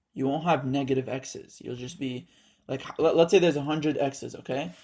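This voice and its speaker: A man with a non-native accent speaks at a fairly high pitch. His tone is dark and mellow, with ordinary pitch variation. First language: not English. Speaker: student tutor. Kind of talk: tutorial. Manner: casual, halting with fillers.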